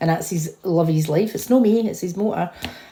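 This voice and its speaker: Her voice fairly low and somewhat breathy with a dark, mellow tone, a woman with a Scottish accent speaks at a moderate pace with ordinary pitch variation. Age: 50s. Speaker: vlogger. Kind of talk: casual chat. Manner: animated.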